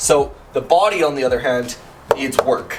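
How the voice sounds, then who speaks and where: Noticeable background noise fills the recording. Through it, a man talks. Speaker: car project vlogger. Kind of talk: casual garage vlog. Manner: fast.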